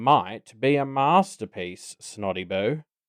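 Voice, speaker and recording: A man puts on a character voice at a medium pitch, talking at a fairly slow pace against a quiet background. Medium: read story. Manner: purring, catlike.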